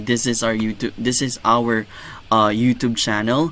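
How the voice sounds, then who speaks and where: A soft-spoken man with a Filipino accent speaks at medium pitch in a monotone, flat intonation. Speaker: gaming YouTuber. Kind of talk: tutorial. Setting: home recording. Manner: hesitant, many fillers.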